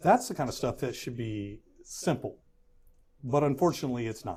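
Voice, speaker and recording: A man speaks at a fairly quick pace with a Texan accent. His medium-pitched voice has a dark, mellow tone and ordinary pitch variation. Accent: Texan American English. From Houston, Texas. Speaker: political candidate, firefighters union president. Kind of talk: interview answer.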